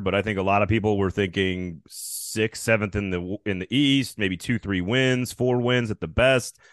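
With an ordinary speaking voice, a man talks at a fairly quick pace and fairly low pitch, with ordinary pitch variation. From Wisconsin and Texas. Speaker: college football writer and podcaster. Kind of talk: casual sports talk interview.

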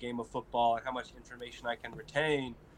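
A man with an American accent and a medium pitch talks at a very fast pace in a monotone, flat intonation over noticeable background noise. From small town Colorado. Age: 20s. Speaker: college football player, NFL draft prospect. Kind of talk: interview, casual. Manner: friendly, casual, says 'man' and 'bro' often.

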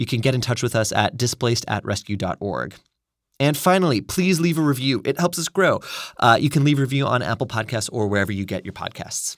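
Over a very clean recording with a silent background, a man at a medium pitch speaks very fast with lively intonation. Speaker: podcast co-host, humanitarian worker. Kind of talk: interview, conversational discussion. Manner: conversational with fillers.

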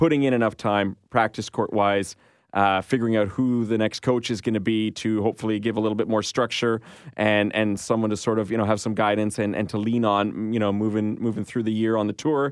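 A man with a Canadian accent uses a normal speaking voice, fairly low in pitch and fairly quick in pace. His loudness holds very even and his intonation fairly even. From Canada. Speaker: tennis podcast co-host. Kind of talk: casual chat.

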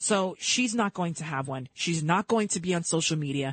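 The speaker has an American accent and talks at a moderate pace. The delivery is animated, with lively intonation. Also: woman, quiet background. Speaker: radio host. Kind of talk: live talk radio show. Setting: radio studio. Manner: animated, opinionated.

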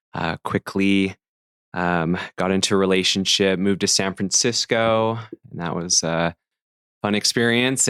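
At a fairly slow pace, a man talks with a fairly low pitch and fairly even intonation. The sound is dry and close with no echo, on a very clean recording with a silent background. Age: 30s. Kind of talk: interview conversation. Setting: in host's home. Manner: steady, thoughtful.

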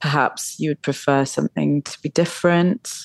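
A woman speaks at a moderate pace in a very deep, low pitch. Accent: British. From England. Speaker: fashion designer. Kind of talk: interview.

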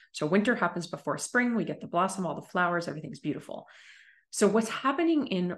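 Here is a woman with an ordinary speaking voice. She talks at a fairly quick pace with lively intonation. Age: 40s. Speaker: business coach. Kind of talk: podcast interview.

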